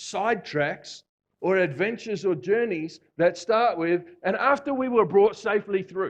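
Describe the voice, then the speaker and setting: Speaking at a moderate pace with an Australian accent, a man sounds animated, his high pitch showing ordinary variation. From Australia (Victoria). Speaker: visiting preacher. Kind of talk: sermon. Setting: church. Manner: animated, conversational.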